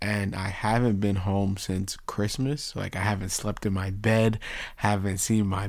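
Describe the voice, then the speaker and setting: Over audible room echo, a man speaks fairly slowly at a fairly low pitch in a monotone, flat intonation. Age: 20s. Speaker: sports podcast host. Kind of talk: casual chat.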